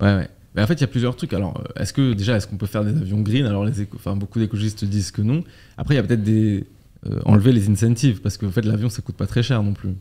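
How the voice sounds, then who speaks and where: At a very fast pace, a man speaks in a fairly low pitch, somewhat breathy with a dark, mellow tone and ordinary pitch variation. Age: 20s. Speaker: podcast host. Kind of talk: casual interview chat. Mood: casual, conversational. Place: studio. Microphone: studio mic.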